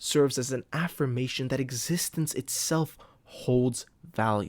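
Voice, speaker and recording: On a very clean recording with a silent background, a man speaks at a medium pitch and moderate pace with ordinary pitch variation. It is a plain, everyday voice with a dry, close sound and no echo. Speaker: literature video host. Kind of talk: lecture. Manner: casual, many fillers.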